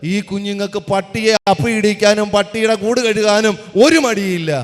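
A man speaks over noticeable background noise. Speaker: public speaker. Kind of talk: speech. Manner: animated.

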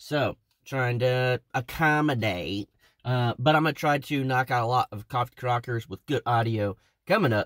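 A man talks at a moderate pace. The sound is dry, with no echo. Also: quiet background. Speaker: channel host. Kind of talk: casual vlog chat. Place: car. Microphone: phone near.

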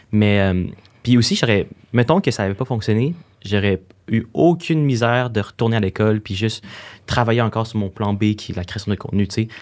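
A man talks at a fairly quick pace. His medium pitch shows ordinary variation. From Quebec. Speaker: social media influencer. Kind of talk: interview. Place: studio. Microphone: studio mic.

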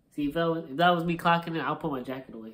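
Fairly quick speech from a man. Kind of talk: comedic acted dialogue. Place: home room. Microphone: phone near.

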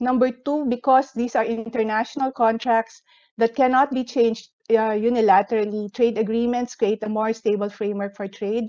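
Over a quiet background, a woman speaks in a monotone, flat intonation with a dark, mellow tone. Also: moderate pace. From Philippines. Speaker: economic researcher; presenter. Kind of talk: presentation. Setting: video call. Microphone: video call.

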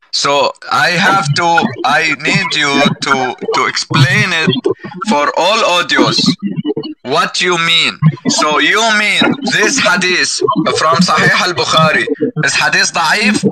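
Against loud background noise, a man speaks at a very slow pace. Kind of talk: heated debate. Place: home room. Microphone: headset.

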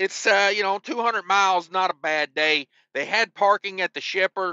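This man's voice sits high in pitch, with ordinary pitch variation and a moderate pace. The sound is dry with no echo, over a quiet background. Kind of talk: casual vlog chat. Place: car. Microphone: phone near.

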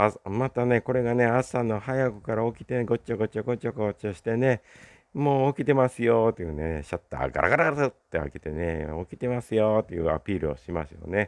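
A man speaks at a fairly quick pace and a medium pitch, with lively intonation and big swings in loudness. The sound is dry and close with no echo, against a quiet background. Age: 60s. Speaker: YouTuber. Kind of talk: solo vlog monologue. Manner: casual, filler-heavy.

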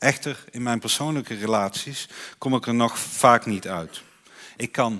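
A man's bright, sharp voice with lively intonation at a fairly slow pace, in a very clean recording with a silent background. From Netherlands, North Brabant. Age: 30s. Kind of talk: conference speech. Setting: stage with audience. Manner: halting.

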